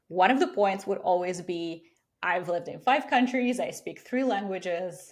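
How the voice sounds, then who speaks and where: Speaking at a moderate pace, a woman uses lively intonation at medium pitch. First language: not English. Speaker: career coach. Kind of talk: interview.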